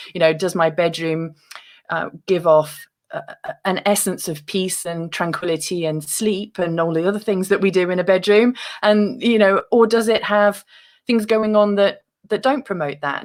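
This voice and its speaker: A woman with a British accent is heard in a very clean recording over a silent background. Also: medium pitch for a woman, ordinary pitch variation, moderate pace. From UK. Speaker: author and meditation guest. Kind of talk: interview.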